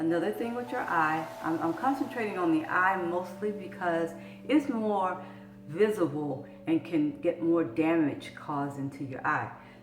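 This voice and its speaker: Speaking at a fairly slow pace in a Southern US accent, a woman uses a fairly low pitch and lively intonation amid audible room echo and noticeable background noise. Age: 60s. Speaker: vlogger sharing health experience. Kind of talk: personal video blog, encouraging talk.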